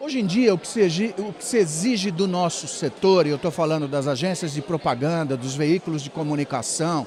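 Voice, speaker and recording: A man talks at a fairly quick pace with a fairly high pitch, lively intonation and hardly any pauses. His loudness swings widely, and there is noticeable background noise. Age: 60s. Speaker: media executive and speaker. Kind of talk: interview. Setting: event.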